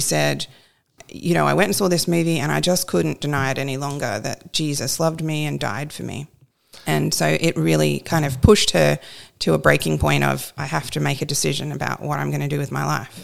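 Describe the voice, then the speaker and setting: A woman speaks with an Australian accent at a fairly quick pace. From rural New South Wales, Australia. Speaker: pastor's wife, co-host. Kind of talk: casual chat, podcast conversation with husband.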